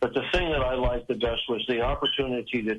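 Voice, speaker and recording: Noticeable background noise runs throughout. Over it, a man talks at a moderate pace. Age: 80s+. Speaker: retired motorsports TV pit reporter. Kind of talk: interview.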